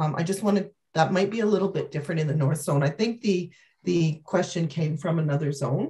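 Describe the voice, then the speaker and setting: Against a quiet background, a woman speaks at a fairly quick pace in a fairly low, somewhat breathy voice with a dark, mellow tone. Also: ordinary pitch variation. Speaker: physician resource planner. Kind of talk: webinar Q&A. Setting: video call. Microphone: video call.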